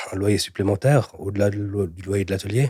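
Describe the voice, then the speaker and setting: Dark and mellow in tone and somewhat breathy, a man speaks at a moderate pace with fairly low pitch and fairly even intonation, the sound dry and close with no echo. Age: 30s. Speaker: entrepreneur, cabinetmaker. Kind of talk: interview excerpts. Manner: hesitant, with fillers and repetitions.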